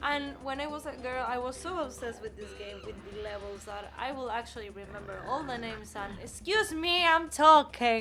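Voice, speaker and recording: A woman with a Spanish accent uses a raised, projected voice at high pitch, with very wide pitch swings, big swings in loudness and hardly any pauses at a moderate pace. Noticeable background noise and audible room echo surround her. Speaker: gaming streamer. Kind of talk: gameplay commentary. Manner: halting.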